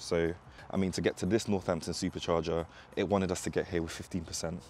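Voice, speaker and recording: Very fast and very deep, a man's low voice comes through over light background noise. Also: dry sound with no echo. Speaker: EV road trip vlogger. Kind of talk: casual vlog chat. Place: street. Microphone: lapel.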